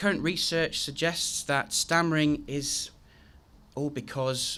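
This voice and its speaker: A man with a southern English accent and a bright, sharp tone. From southern England, Cotswolds. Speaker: guest speaker. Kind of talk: speech to an audience. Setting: school hall with audience. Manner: halting.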